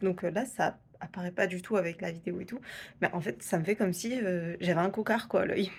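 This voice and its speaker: A woman speaks at medium pitch with a somewhat breathy sound. Her pace is moderate and her pitch varies in an ordinary way. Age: 20s. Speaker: vlogger. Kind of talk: casual vlog talk. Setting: at home. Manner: hesitant, many fillers; whispering.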